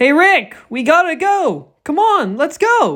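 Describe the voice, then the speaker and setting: In a put-on character voice, the speaker goes at a fairly slow pace, pitched high with very wide swings in pitch. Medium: read story.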